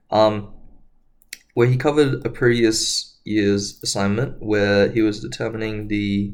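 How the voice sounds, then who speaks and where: A man's fairly low voice at a fairly slow pace, with audible room echo. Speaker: engineering tutor. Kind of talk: lecture. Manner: hesitant, many fillers.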